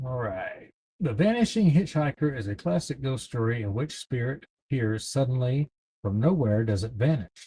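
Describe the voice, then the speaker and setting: At a moderate pace, a man with a Southern accent speaks at medium pitch, somewhat breathy, with a dark, mellow tone and lively intonation. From East Texas. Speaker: livestream host running a trivia game. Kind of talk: casual livestream chat, reading trivia questions.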